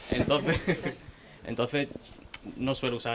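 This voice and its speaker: Background noise is noticeable as a man talks with fairly even intonation. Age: young. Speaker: newspaper correspondent. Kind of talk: panel discussion.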